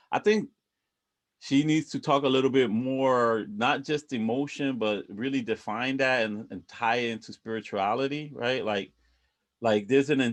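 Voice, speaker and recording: A man's medium-pitched voice, ordinary pitch variation, moderate pace, a slight Puerto Rican accent, and a quiet background. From Puerto Rico. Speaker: book club organizer. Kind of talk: group discussion on video call. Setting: video call. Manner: halting, many restarts.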